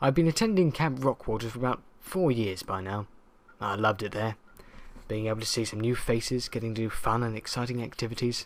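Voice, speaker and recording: With a southern English accent, a man speaks at a fairly quick pace. His pitch is medium, with ordinary variation. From southern England. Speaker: creepypasta narrator. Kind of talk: horror story reading.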